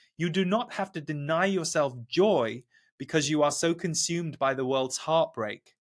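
This man has an ordinary speaking voice, fairly high in pitch, moving at a moderate pace with ordinary pitch variation. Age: 40s. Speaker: spiritual teacher and channeler. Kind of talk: channeled message; interview conversation. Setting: video call.

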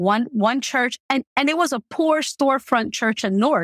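A woman's plain, everyday voice with an American accent, ordinary pitch variation and a moderate pace, dry and close with no echo, in a very clean recording against a silent background. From New Jersey. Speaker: nonprofit founder and author. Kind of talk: interview.

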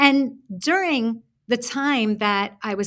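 Fairly high in pitch, a woman speaks with ordinary pitch variation. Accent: New York. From Brooklyn, New York. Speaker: author and career coach. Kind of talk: casual interview chat.

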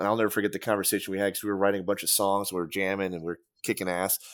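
In a very clean recording with a silent background, a man with a fairly low pitch speaks very fast in a monotone, flat intonation. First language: not English. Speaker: former metal band musician. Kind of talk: casual chat. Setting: studio.

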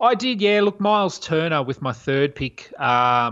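Speaking in an Australian accent, a man uses lively intonation at a moderate pace. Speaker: fantasy basketball writer. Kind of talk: casual chat. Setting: remote call. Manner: halting.

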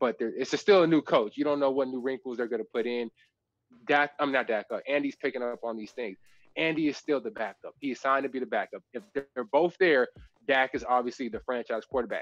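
This man has an unremarkable speaking voice at a medium pitch, moving at a fairly quick pace with ordinary pitch variation in a dry, close sound with no echo. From Texas. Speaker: former NFL safety and podcast host. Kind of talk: casual chat.

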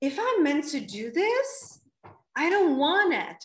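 This is a woman talking. She has a Czech accent. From Czech Republic. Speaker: women's coach. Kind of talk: interview conversation. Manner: animated.

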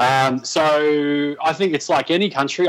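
Here is a man with an Australian accent. His pitch sits fairly high. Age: 30s. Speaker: sports commentator. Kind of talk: casual chat.

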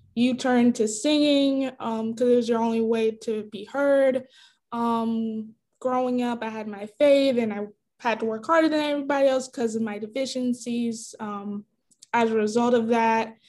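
A woman with a plain, everyday voice talks at a moderate pace, her fairly high pitch carried in fairly even intonation. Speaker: podcast host. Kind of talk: casual chat. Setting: video call.

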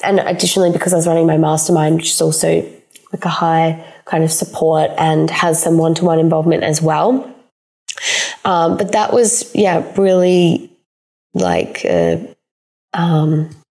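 Speaking at a moderate pace with an Australian accent, a woman keeps a fairly low pitch and fairly even intonation. Her loudness stays very even, and she leaves long, frequent pauses. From South Australia. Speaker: money and empowerment coach. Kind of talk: solo podcast monologue. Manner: casual, with frequent fillers.

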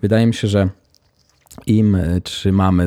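A man's dark, mellow voice at a fairly slow pace with ordinary pitch variation, in a very clean recording with a silent background. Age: 30s. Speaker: podcast host, style blogger. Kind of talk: solo podcast monologue.

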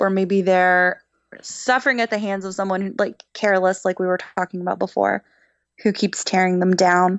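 A woman speaks at a medium pitch and moderate pace in a plain, everyday voice. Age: 20s. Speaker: mental health guest. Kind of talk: personal testimony in casual interview.

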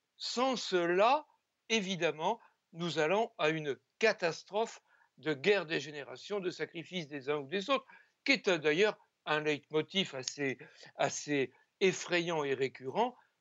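A man speaks at a very slow pace with a high pitch. Long, frequent pauses break up his speech. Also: lively intonation. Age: 70s. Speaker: sociologist. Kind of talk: televised debate.

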